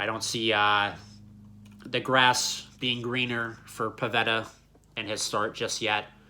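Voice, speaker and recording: A man talks at a very slow pace with long, frequent pauses and a monotone, flat intonation. His medium-pitched voice has a bright, sharp tone. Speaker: sports channel host. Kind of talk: sports preview commentary.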